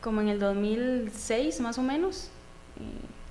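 Amid noticeable background noise and audible room echo, a woman speaks with a Costa Rican accent and ordinary pitch variation. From Costa Rica, Atenas. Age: 20s. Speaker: professional footballer. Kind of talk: interview.

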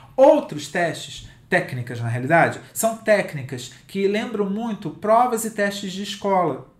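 A man speaks at a high pitch. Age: 50s. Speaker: digital content writing specialist and author. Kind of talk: interview.

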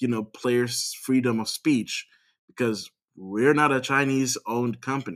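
A man talks at a moderate pace. The recording is very clean with a silent background. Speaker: podcast host. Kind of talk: casual chat.

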